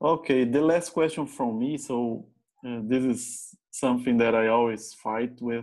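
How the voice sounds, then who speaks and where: A man speaks with a Brazilian Portuguese accent at a medium pitch. His pitch variation is ordinary and the background is quiet. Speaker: safety manager hosting interview. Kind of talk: casual interview conversation.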